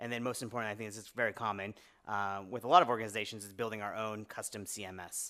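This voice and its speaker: The pace of this man's speech is very fast. The recording is very clean, with a silent background. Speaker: media engagement lead giving a talk. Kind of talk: conference talk. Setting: lecture room with audience. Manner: halting, many fillers and restarts.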